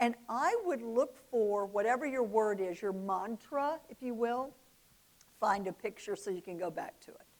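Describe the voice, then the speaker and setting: Speaking fairly slowly in a Southern US accent, a woman uses a fairly high pitch, ordinary pitch variation, and an animated tone. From US South, Oxford, Mississippi. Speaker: business speaker. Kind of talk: motivational talk.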